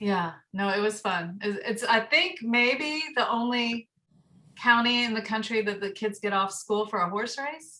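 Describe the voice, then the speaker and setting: A woman speaks at a fairly slow pace in a fairly high voice, her pitch varying in an ordinary way. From US South, Marietta, Georgia. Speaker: community radio station member. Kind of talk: casual chat.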